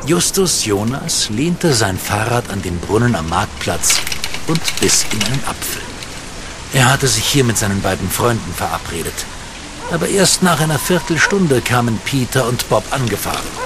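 Medium-pitched male speech with very wide pitch swings over noticeable background noise. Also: moderate pace. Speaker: audio drama narrator. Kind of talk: children's audio drama narration.

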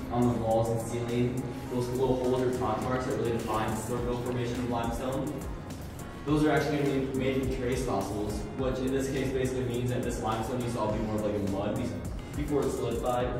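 A man talks at a very fast pace. Strong room echo surrounds his voice, and music plays clearly in the background. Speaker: cave tour guide. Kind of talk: tour guide explanation. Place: tunnel cave. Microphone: camera far.

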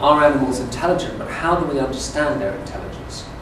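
Over noticeable background noise and audible room echo, the speaker moves at a fairly quick pace with ordinary pitch variation. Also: man. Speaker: lecturer. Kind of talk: lecture. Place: classroom. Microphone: camera far.

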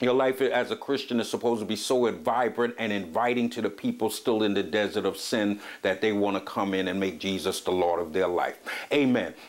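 Speaking at a fairly quick pace, a man with a fairly low pitch shows ordinary pitch variation. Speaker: preacher hosting a teaching program. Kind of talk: sermon. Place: home room. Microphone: lapel.

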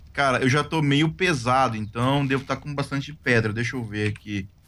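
Recorded very cleanly with a silent background, a man speaks at a medium pitch. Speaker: gaming co-player. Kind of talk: casual chat while gaming.

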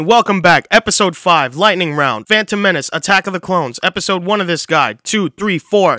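Against a quiet background with a dry, echo-free sound, a man projects a raised voice with a bright, sharp tone, ordinary pitch variation and a fairly quick pace. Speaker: video host. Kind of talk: casual commentary on a watch-order guide. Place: home room. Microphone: studio mic.

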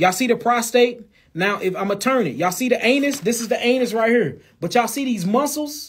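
The man's voice is extremely high-pitched, loud and animated. He keeps a moderate pace with lively intonation. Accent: St. Louis. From St. Louis, US Midwest; Missouri. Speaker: health talk host. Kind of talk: casual live stream chat. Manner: animated, loud. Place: office. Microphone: phone near.

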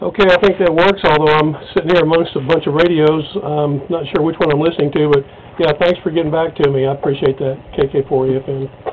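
A man speaks at a fairly quick pace with fairly even intonation. Light background noise can be heard. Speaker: ham radio operator. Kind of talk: radio contact chat. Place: home room. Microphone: camera far.

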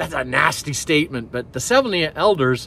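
Recorded dry with no echo, a man's voice comes over light background noise. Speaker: pastor. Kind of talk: sermon. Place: forest. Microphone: phone near.

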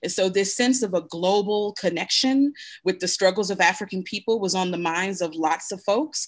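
The background stays quiet. A woman talks in an American accent. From US, Buffalo, New York; New York. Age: 40s. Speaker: Kwanzaa practitioner; guest. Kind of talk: panel discussion. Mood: warm, earnest teaching. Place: home room. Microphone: video call.

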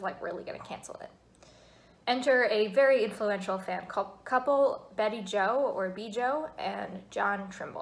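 The pitch variation is ordinary. A woman does the talking. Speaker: vlogger. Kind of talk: casual vlog chat. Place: home room. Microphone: phone near.

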